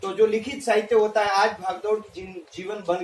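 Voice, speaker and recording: A man speaks with a Rajasthani accent and fairly even intonation. Noticeable background noise is present. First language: Marwari (speaking Hindi). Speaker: teacher. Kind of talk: presentation. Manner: halting, many fillers.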